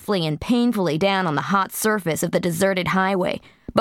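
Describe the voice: Ordinary pitch variation comes through in this plain reading aloud.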